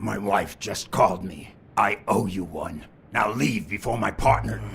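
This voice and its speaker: Growling in a put-on character voice, a man speaks at a moderate pace with a fairly low pitch and lively intonation. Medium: video game.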